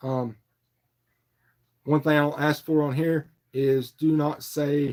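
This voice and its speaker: A man with an Appalachian accent and a relaxed tone speaks at a very slow pace, fairly high in pitch, in a monotone, flat delivery. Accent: Southern US (Appalachian foothills). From North Carolina, Morganton foothills. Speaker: fishing livestreamer. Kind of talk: casual livestream chat. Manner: relaxed, filler-heavy.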